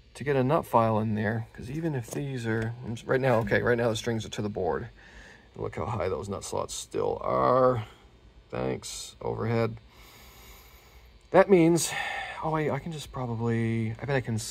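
A man talks at a moderate pace. He takes long, frequent pauses. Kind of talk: casual tutorial commentary. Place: workshop. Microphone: phone near.

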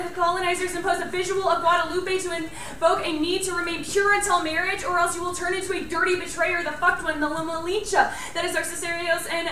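A woman talks at a very fast pace in a raised, projected voice, with hardly any pauses and monotone, flat intonation. Audible room echo and light background noise surround her. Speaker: college debater. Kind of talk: fast competitive debate speech. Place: classroom. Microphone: camera far.

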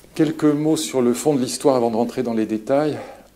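A man is talking. The pitch shifts in an ordinary way. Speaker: lecturer. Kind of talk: lecture. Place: hall.

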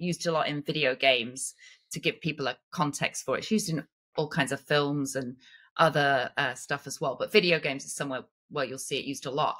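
A woman with an English accent at a fairly quick pace, over a quiet background. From England. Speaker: actress, puppeteer, performance capture artist; actress. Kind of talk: podcast interview answer. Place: home room.

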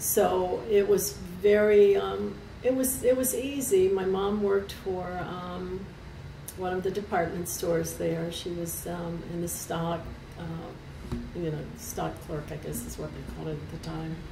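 Over noticeable background noise, a woman talks at a fairly slow pace. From US South (Kentucky, Appalachia). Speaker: retired airline worker and union member. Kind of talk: oral history interview. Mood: warm, smiling. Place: office.

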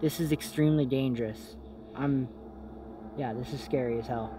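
Over noticeable background noise, a man talks at a moderate pace with lively intonation. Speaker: ghost hunting vlogger. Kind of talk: casual vlog chat. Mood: nervous, excited. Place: open country. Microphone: handheld.

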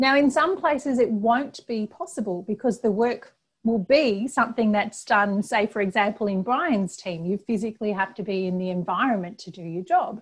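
A somewhat breathy woman's voice with hardly any pauses and big swings in loudness, over a quiet background. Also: moderate pace. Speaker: presenter. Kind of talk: webinar presentation. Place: home room. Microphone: earbuds.

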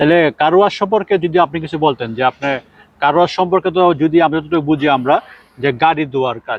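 Ordinary pitch variation runs through the speech. It is an unremarkable speaking voice. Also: man, fairly high pitch for a man. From Bangladesh. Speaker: YouTuber, migrant vlogger. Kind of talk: casual interview.

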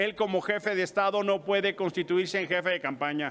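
A man's high voice, bright and sharp in tone, moves at a moderate pace with fairly even intonation. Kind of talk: press conference statement. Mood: firm, accusatory. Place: hall. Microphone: podium.

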